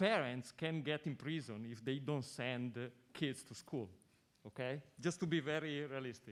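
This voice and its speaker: A man speaks with an Italian accent at a medium pitch. His pitch variation is ordinary. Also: moderate pace. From Italy. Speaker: audience member asking question. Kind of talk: audience question at panel.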